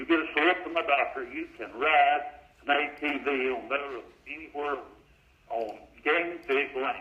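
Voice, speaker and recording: Speaking with an Arkansas accent, a fairly high-pitched man keeps a moderate pace and fairly even intonation with long, frequent pauses. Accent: southern US (Arkansas). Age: 80s+. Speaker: caller. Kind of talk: call-in question. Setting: phone call. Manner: halting.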